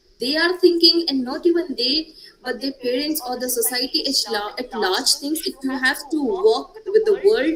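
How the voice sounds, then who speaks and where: Noticeable background noise runs under this recording. A woman talks at a fairly slow pace. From India, Gujarat. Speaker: panelist. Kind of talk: panel discussion.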